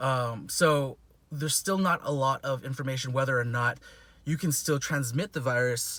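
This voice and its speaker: Here a man speaks with a medium pitch and a bright, sharp tone. The recording is very clean, with a silent background. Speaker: chiropractor and covid tester vlogger. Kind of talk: casual vlog monologue. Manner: fast; filler-heavy, halting restarts.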